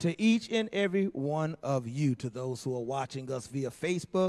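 At a moderate speed, a man speaks while the background stays quiet. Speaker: pastor. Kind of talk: sermon. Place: church. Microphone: handheld.

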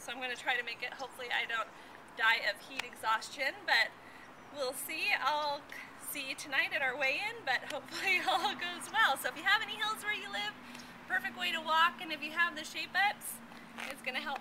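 Noticeable background noise surrounds a woman speaking in a raised, projected voice at a fairly quick pace. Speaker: fitness vlogger. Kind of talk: casual vlog chat. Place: street. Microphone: camera far.

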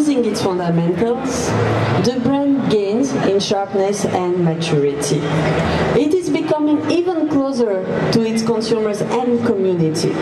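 A woman speaks at a moderate pace. Loud background noise runs underneath her voice. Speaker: presenter. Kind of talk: press conference presentation. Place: hall. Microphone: handheld.

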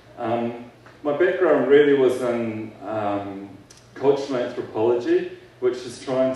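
A man speaks at a fairly slow pace. Strong echo fills the room around him. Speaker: keynote speaker. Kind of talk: keynote speech. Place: hall.

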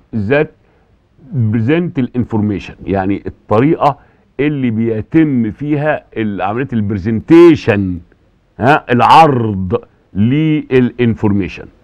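Lively intonation from a man at a very slow pace. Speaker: university lecturer. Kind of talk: lecture. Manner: repetitive, halting fillers.

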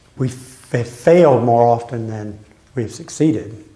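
A medium-pitched man's voice at a very slow pace with ordinary pitch variation. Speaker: Bible study leader, church pastor; church pastor. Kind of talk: Bible study lesson with group discussion. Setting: church classroom with group. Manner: conversational, interactive. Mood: calm, reflective. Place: church. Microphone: camera far.

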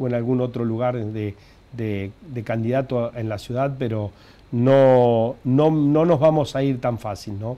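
The speaker is a man with a dark, mellow tone. His pitch variation is ordinary. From Argentina, Santa Fe province. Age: 50s. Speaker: mayor. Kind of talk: TV interview. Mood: warm, reflective. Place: studio. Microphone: lapel.

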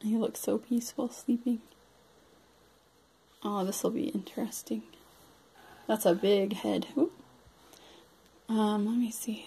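Fairly slow delivery marked by long, frequent pauses. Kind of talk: casual unboxing commentary. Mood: delighted, admiring. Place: home room. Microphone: phone near.

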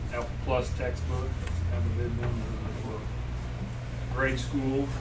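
A man speaks over loud background noise. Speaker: school official reviewing purchase orders. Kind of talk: meeting report. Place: meeting room. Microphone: camera far.

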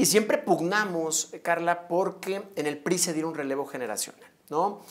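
A man's fairly high voice with ordinary pitch variation, moderate pace and a quiet background. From Mexico, León, Guanajuato; Guanajuato, Mexico. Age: 30s. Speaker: mayoral candidate; candidate. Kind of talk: interview. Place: studio. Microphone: lapel.

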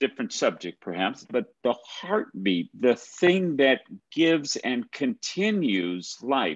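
A man with an American accent and vocal fry, at a very slow pace and fairly high pitch, with very wide pitch swings over a quiet background. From US Midwest. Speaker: nonprofit president and moderator; moderator. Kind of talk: moderated book talk. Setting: video call. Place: office. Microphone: webcam.

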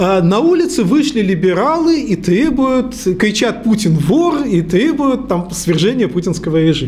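The man's high voice moves through very wide pitch swings at a fairly slow pace. His loudness stays very even. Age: 50s. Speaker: university lecturer and researcher; university lecturer. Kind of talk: lecture. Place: meeting room. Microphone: podium.

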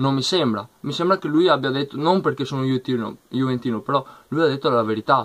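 A man talks at a very fast pace. His pitch is medium. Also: ordinary pitch variation. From Italy. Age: 20s. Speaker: youtuber, football fan commentator. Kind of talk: vlog rant. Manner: animated. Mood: annoyed, confrontational. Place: home room. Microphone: webcam.

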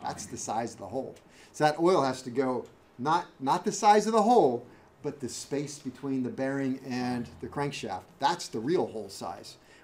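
A man speaks at a moderate pace with lively intonation. His loudness swings widely. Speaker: automotive instructor. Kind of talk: lecture. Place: classroom.

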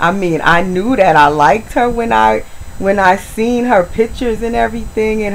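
A woman talks with lively intonation. Light background noise sits behind her. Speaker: video blogger, reborn doll collector. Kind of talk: casual vlog tutorial. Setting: at home, talking to camera. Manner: slow, unhurried. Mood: warm, affectionate. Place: home room.

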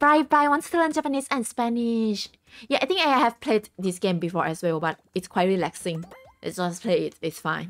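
A woman speaks with a Thai accent at medium pitch and a moderate pace, her pitch swinging very widely. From Thailand. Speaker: game streamer. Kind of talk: casual live stream chat. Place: home room.

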